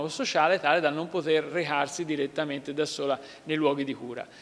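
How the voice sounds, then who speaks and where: A man talks at a very fast pace. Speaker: regional councillor. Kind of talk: interview answer. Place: hall.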